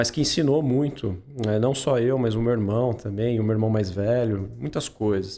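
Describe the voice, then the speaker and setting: Keeping very even loudness, a man talks at a medium pitch and a moderate pace with ordinary pitch variation. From Pinhal, São Paulo state, Brazil. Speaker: podcast founder and host, interviewed about his career. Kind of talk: casual interview chat.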